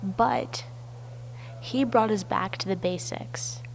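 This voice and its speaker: A woman's voice amid noticeable background noise. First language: not English. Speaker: university student. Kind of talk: personal narrative video essay.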